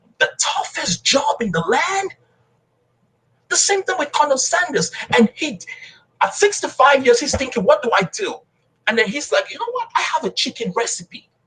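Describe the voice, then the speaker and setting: In a Nigerian accent, a man speaks at a moderate pace in a raised, projected voice, his tone passionate and animated. His pitch is extremely high and swings very widely, with long, frequent pauses. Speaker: motivational speaker and coach. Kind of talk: motivational speech in interview. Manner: passionate, animated.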